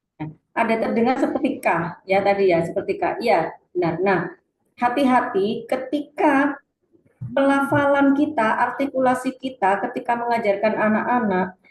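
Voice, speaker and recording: A woman with a strong Surabaya accent speaks at a moderate pace, her high pitch carrying lively intonation. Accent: thick Surabaya Javanese (medok). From Indonesia, Surabaya (East Java). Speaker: reading teacher / webinar presenter. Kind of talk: webinar lecture. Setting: online webinar.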